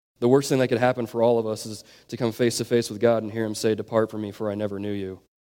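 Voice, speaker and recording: A man's dark, mellow voice at medium pitch, flat and monotone, with big jumps in loudness and a very fast pace. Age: 20s. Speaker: youth pastor. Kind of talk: sermon.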